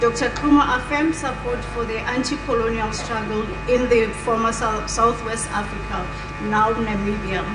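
A woman talks at a moderate pace as noticeable background noise carries on around her. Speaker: family member reading the obituary. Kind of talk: reading aloud an obituary. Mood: solemn. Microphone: podium.

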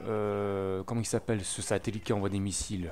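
This man's pitch sits fairly low. He keeps to a fairly slow pace. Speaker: gaming video maker. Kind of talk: gameplay commentary. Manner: hesitant, many fillers.

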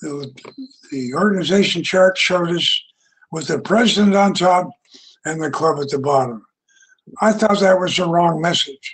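A man speaks in a high voice. He leaves long, frequent pauses. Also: ordinary pitch variation, moderate pace. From US West, Utah. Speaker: retired engineer and club speaker; speaker. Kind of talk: prepared speech. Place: home room. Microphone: headset.

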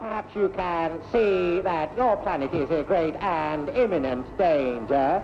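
A put-on, robotic character voice sits at a middle pitch and moves at a fairly slow pace. Clear background noise runs underneath. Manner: strange robotic intonation, slightly comical.

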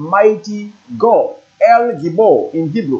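Against a quiet background, a man with a high voice speaks with lively intonation. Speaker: presenter. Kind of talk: religious teaching lecture. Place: studio. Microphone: lapel.

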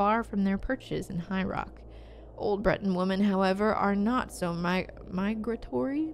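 The voice is an unforced reading voice. Nothing else is marked.

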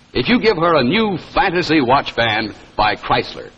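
A man with a fairly high pitch sounds upbeat, with very wide pitch swings at a moderate pace. Noticeable background noise is present. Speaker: commercial announcer. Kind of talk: vintage 1950s TV commercial pitch, bright salesman patter. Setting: live TV broadcast. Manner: upbeat, polished, persuasive.

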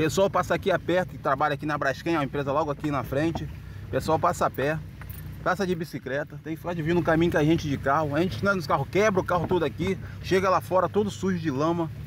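Talking at a very fast pace, a man comes across with a dry sound and no echo. Light background noise can be heard. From Rio de Janeiro. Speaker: local resident. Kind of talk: street interview. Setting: outdoors. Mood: indignant complaint. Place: car. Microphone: phone near.

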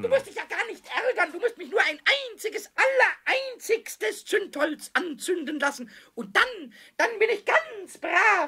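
In a put-on character voice at an extremely high pitch, a man moves at a moderate pace broken by long, frequent pauses. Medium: audio drama. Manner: excited, cheeky, stuttering.

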